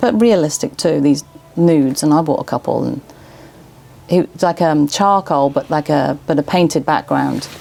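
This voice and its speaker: A woman speaks in an English accent, her pitch very deep and low. Noticeable noise runs in the background. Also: ordinary pitch variation, moderate pace. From England. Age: 40s. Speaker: small business owner. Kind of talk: casual chat.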